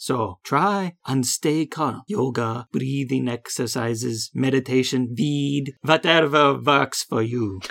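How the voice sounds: Using a put-on character voice, a woman speaks slowly with few pauses, an extremely low pitch, vocal fry, a fairly bright tone and ordinary pitch variation.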